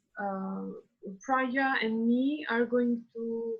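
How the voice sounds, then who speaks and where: The voice carries an Albanian accent. Its intonation is fairly even. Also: woman. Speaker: PhD student. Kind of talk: panel discussion.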